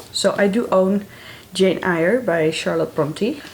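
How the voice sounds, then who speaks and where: Lively intonation from a woman with a Dutch accent, over noticeable background noise. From Netherlands. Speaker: book vlogger. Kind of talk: casual vlog talk to camera.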